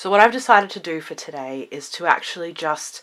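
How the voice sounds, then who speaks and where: Bright and sharp in tone, a woman speaks at a fairly low pitch with an Australian accent. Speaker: witchcraft content creator. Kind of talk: casual vlog talk. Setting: home library room.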